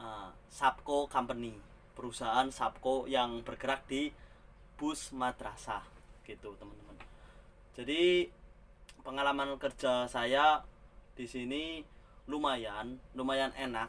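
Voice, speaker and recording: A man at a fairly slow pace, with long, frequent pauses and big swings in loudness. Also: medium pitch for a man, fairly even intonation. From Central Java, Ngapak region (Tegal). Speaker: migrant bus driver, vlogger. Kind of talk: casual vlog monologue.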